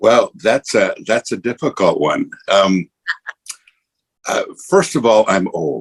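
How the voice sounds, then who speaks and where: Speaking with an American accent at a very slow pace, a man leaves long, frequent pauses, and the sound is dry and close with no echo. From Montana. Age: 70s. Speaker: pastor. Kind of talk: interview.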